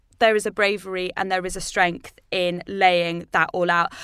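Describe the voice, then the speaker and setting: A woman with a British accent speaks at a moderate pace on a very clean recording with a silent background. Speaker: podcast host. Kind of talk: casual chat.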